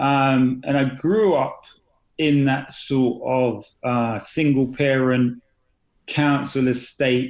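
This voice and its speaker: A man with an English accent speaks at a very slow pace and a medium pitch. His loudness stays very even and his intonation fairly even. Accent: British (English). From East London, England. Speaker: confidence and accountability coach. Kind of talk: podcast interview. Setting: podcast. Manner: hesitant, many fillers.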